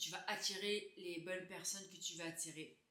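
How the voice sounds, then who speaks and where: A bright, sharp tone in flat monotone at a moderate pace, with audible room echo. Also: woman. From Quebec, Laval (Montreal area). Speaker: beauty YouTuber. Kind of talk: casual Q&A chat to camera. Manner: hesitant, many euh fillers.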